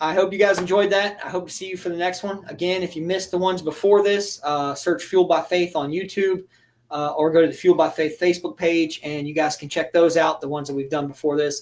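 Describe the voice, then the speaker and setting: The speech rushes along at a very fast pace with hardly any pauses. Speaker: church automotive teacher. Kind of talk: livestreamed teaching session. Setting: livestream from computer.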